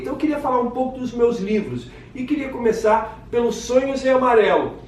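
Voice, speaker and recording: A man's high-pitched voice at a fairly quick pace, with audible room echo and noticeable background noise. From Brazil, Rio de Janeiro. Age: 60s. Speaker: children's author and literature teacher. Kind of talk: casual self-presentation to camera.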